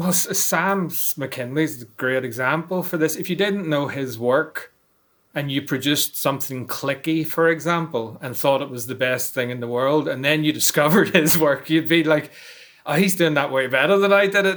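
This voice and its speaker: A man with a Northern Irish accent, fairly high pitch, ordinary pitch variation and a moderate pace. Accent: Northern Irish, noticeable. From Northern Ireland, Belfast. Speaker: noise musician and artist. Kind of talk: interview.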